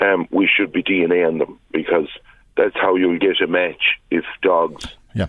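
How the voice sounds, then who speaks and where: Speaking with a western Irish accent, a man talks at a moderate pace. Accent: rural west of Ireland. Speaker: politician. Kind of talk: radio interview.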